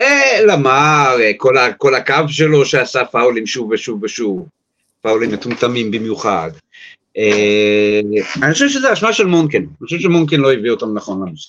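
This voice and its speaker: This man has a normal speaking voice at a medium pitch. He talks at a moderate pace with lively intonation. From US, New York. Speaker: sports journalist. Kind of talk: casual chat.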